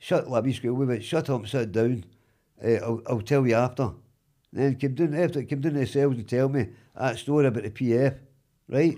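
With a Glaswegian accent, a man at medium pitch speaks in a dark, mellow tone at a fairly quick pace, leaving long, frequent pauses, in a very clean recording with a silent background. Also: ordinary pitch variation. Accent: Glaswegian Scottish. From Glasgow East End, Scotland. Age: 60s. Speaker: wrongly convicted man, interviewee. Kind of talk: casual interview.

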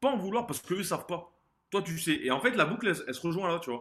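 Talking very fast, a man uses lively intonation in a high voice. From southern France, Montpellier. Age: 20s. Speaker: former judo athlete and business consultant. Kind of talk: interview testimony. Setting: remote call. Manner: energetic.

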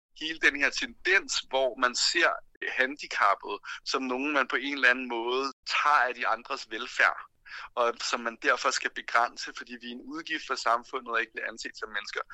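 A man speaks at a moderate pace with big swings in loudness. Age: 30s. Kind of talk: interview.

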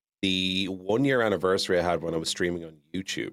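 A man with an Irish accent. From Ireland. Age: 30s. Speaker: video game streamer. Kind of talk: casual interview. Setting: video call. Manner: animated.

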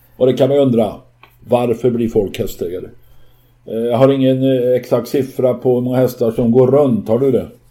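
Moderate pace and monotone, flat intonation. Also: man, medium pitch for a man. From rural Sweden. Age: 60s. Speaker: podcast co-host, horse owner. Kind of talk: casual chat.

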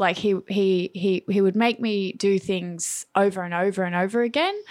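At a moderate pace, a woman with an Australian accent speaks at a medium pitch with fairly even intonation. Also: very clean recording, silent background. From Melbourne, Australia (from Perth). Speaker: hairdresser and salon owner. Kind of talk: interview.

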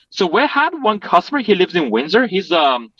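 A man's lively, up-and-down delivery in a Chinese accent, dry and close with no echo. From Chongqing, China. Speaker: restaurant co-owner. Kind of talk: interview.

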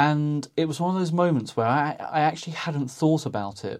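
This is a normal speaking voice, keeping a moderate pace and ordinary pitch variation. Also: man. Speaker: podcast host. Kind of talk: casual reflective chat.

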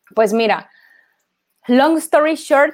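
A woman speaks with ordinary pitch variation. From Mexico, Ciudad Victoria (Tamaulipas). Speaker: sports marketing agency co-founder. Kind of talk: online talk / interview. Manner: casual, many filler words.

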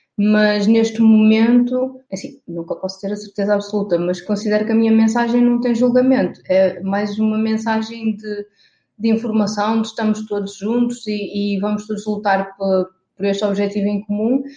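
With a fairly high pitch yet a dark, mellow tone, a woman speaks somewhat breathily at a moderate pace in a monotone, flat intonation. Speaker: environmental activist and blogger. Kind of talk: interview conversation.

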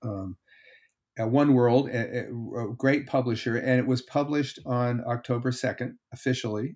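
A man speaks at a moderate pace with an American accent. His pitch is medium and his intonation fairly even. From Connecticut, US Northeast. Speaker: historian and author. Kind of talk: interview. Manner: halting.

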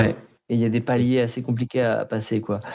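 The man's voice is dark and mellow, medium in pitch, with monotone, flat intonation. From southeastern France, Alpes-de-Haute-Provence. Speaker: podcast co-host. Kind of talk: casual chat. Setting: remote recording, each on own side.

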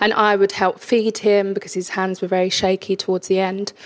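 A woman in a London accent, monotone and flat in intonation, at a moderate pace. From East London (Hackney). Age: 30s. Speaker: charity ambassador sharing life story. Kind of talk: interview testimony. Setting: home kitchen.

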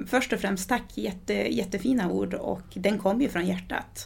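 A woman talks in a somewhat breathy voice. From Sweden, adopted from Brazil at age eight. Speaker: author. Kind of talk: interview, personal life story. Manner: halting, many repetitions and fillers.

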